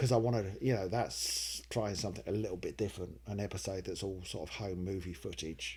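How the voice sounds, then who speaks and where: Very deep and low in pitch with vocal fry, a man rattles along at a fairly quick pace with lively intonation and hardly any pauses. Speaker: comedy writer and video maker. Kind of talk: casual Q&A talk to camera.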